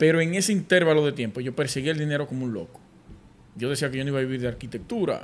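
A man with a fairly high voice speaks very fast, his intonation lively. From Dominican Republic, Sosúa, Puerto Plata. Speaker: podcast host, architect. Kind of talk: casual interview.

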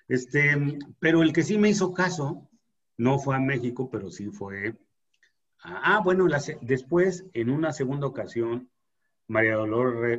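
An unremarkable speaking voice carries lively intonation. It moves at a fairly slow pace. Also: man. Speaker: podcast host. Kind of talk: casual chat.

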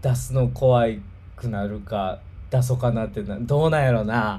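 A somewhat breathy man's voice in a Kansai accent, medium in pitch and dark and mellow in tone, with ordinary pitch variation, a fairly slow pace and audible room echo. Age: 30s. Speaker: livestream host. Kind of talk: casual chat.

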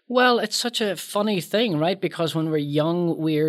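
A man is talking. He has a Northern Irish accent. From Northern Ireland. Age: 50s. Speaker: filmmaker and author. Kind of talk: casual chat.

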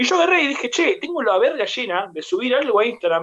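At a very fast pace, a man with a Rioplatense accent speaks at an extremely high pitch with very wide pitch swings. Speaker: podcast host. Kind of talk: casual chat. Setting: video call.

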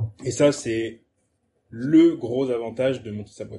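A man's somewhat breathy voice of medium pitch with a dark, mellow tone. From France, Avignon. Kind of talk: casual chat. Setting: startup incubator premises, Toulouse.

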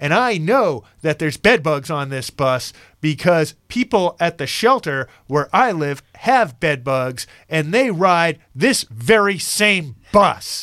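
A man's loud, put-on character voice, fairly high in pitch, with big pitch swings, a slow pace and a fairly bright tone

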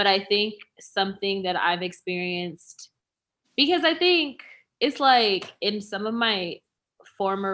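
This is an unremarkable speaking voice with ordinary pitch variation. The pace is fairly slow. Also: woman. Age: 20s. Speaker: racial equity consultant. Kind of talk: casual chat.

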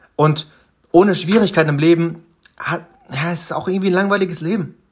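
Ordinary pitch variation marks speech that moves at a fairly quick pace. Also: man. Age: 20s. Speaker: self-improvement podcaster. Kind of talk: solo motivational monologue. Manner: halting, many fillers.

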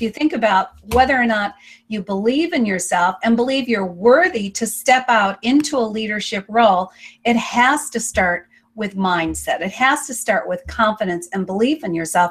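In a plain, everyday voice, a woman speaks at a moderate pace with lively intonation and a fairly high pitch. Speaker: online show host. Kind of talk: interview. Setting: video call.

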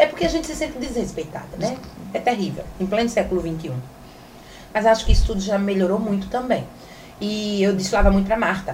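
Speech comes at a fairly quick pace with lively intonation and long, frequent pauses. Room echo and background noise are both noticeable. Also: woman, medium pitch for a woman. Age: 40s. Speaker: sexologist and influencer. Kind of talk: casual interview chat.

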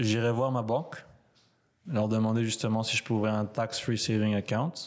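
A man speaks in a plain, everyday voice at a moderate pace on a very clean recording with a silent background. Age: 20s. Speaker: university student. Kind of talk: casual chat.

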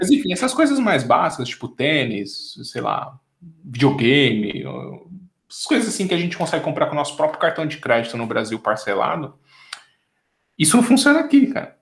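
Speaking with a São Paulo accent, a man leaves long, frequent pauses. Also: moderate pace. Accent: Brazilian Portuguese (paulistano). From Brazil, São Paulo. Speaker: software engineer. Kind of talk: casual interview chat. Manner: animated, slangy.

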